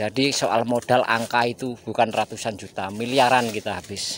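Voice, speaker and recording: Speaking at medium pitch, a man delivers his words in a monotone, flat way. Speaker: agarwood farmer. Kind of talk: vlog tutorial.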